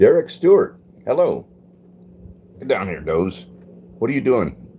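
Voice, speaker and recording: Speaking at a moderate pace with an American accent, a man's loudness swings widely. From US West, Los Angeles. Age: 60s. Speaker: livestreamer. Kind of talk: casual live chat reading viewer comments. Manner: relaxed, conversational.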